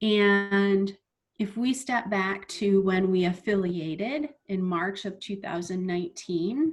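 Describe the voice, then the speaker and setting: This woman has a medium pitch and a normal speaking voice. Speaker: chief financial officer. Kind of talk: Q&A session.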